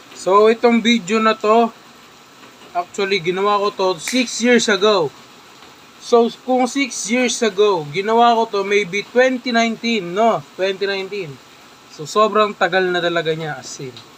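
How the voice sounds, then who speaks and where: At a fairly slow pace, a man with a high voice speaks over noticeable background noise. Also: ordinary pitch variation. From Philippines, Metro Manila (Caloocan). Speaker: vlogger. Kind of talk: casual reaction commentary. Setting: indoors, moved in from noisy outside.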